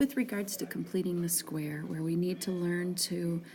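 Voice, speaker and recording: Soft-spoken and somewhat breathy, the voice moves at a moderate pace with a dark, mellow tone. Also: woman. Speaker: math teacher. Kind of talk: tutorial. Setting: tire shop waiting area. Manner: hesitant with fillers.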